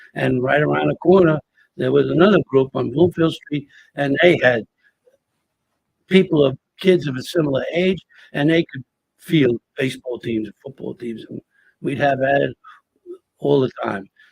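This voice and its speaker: A man with a somewhat breathy, fairly high voice speaks at a moderate pace with ordinary pitch variation, long and frequent pauses, and big swings in loudness. The sound is dry and close with no echo. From Hoboken, New Jersey. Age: 70s. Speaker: retired teacher and storyteller. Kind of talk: casual interview conversation. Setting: museum gallery, pre-recorded. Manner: animated, repetitive false starts.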